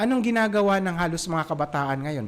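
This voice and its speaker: A man talks fairly quickly at a high pitch with lively intonation. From Visayas, Philippines. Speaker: parenting podcast host. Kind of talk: solo podcast talk. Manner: casual, with many fillers.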